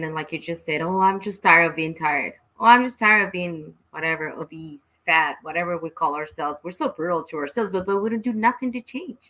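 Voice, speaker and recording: A woman with a Mexican accent, very fast and with hardly any pauses, her intonation lively. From Mexico, Guadalajara. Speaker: talk show host. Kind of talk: casual chat. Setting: home studio, live stream.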